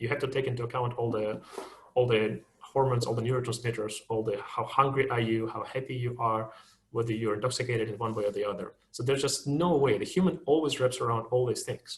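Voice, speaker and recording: Speaking very fast with a Russian accent, a man keeps a medium pitch and fairly even intonation. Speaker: machine learning engineer, webinar speaker. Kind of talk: webinar talk, Q&A discussion. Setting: online webinar. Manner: halting, many repetitions and fillers.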